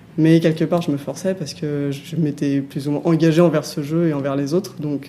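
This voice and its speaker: Fairly quick speech from a woman, very deep and low in pitch, with ordinary variation in pitch. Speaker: former online gamer. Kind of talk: interview answer. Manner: soft-spoken.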